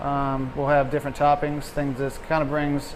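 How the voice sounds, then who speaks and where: The speaker is a man with a fairly high pitch. Noticeable background noise and audible room echo surround him. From Louisiana, Chalmette (New Orleans area). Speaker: chef. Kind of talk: casual interview on camera.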